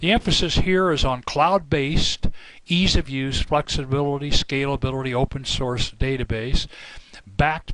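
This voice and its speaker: This is a plain, everyday voice, with ordinary pitch variation and a moderate pace. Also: man. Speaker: software company representative. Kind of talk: product presentation.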